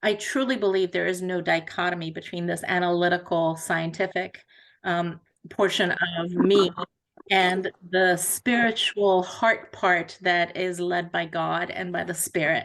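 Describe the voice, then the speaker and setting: A woman with a plain, everyday voice at a fairly slow pace. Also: fairly low pitch for a woman, fairly even intonation. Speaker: faith community representative. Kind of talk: presentation.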